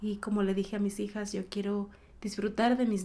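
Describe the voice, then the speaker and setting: A woman's fairly high pitch with a dark, mellow tone and monotone, flat intonation. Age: 40s. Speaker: small business owner. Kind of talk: interview.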